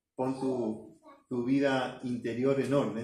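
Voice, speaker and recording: A man talks at a very slow pace in a room with audible echo. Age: 60s. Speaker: pastor. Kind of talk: sermon. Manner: halting.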